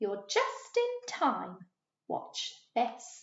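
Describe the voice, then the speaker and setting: Using a put-on character voice, a woman speaks at an extremely high pitch. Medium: read story.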